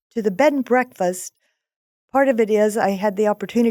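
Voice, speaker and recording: A woman with a Texan accent talks at a fairly quick pace in a dark, mellow tone. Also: dry, close sound with no echo, very clean recording, silent background. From Texas (Houston). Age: 70s. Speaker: small business owner. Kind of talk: casual interview chat. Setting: studio.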